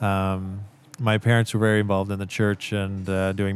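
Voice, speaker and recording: With a West Coast US accent, a man speaks at a moderate pace in a fairly low voice. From US Pacific Northwest, Central Oregon. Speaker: missionary. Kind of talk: casual interview. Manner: halting, many fillers.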